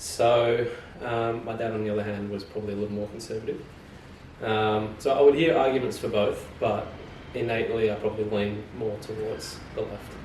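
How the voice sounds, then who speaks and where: A man with an Australian accent and fairly even intonation, amid audible room echo and noticeable background noise. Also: medium pitch for a man, moderate pace. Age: 30s. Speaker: fashion merchandiser. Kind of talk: casual podcast conversation. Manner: hesitant, many fillers.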